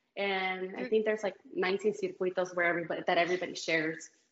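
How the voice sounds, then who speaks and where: Here a woman talks at a very fast pace and a medium pitch. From Mexico, Guanajuato. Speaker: reality TV competitor. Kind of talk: casual interview.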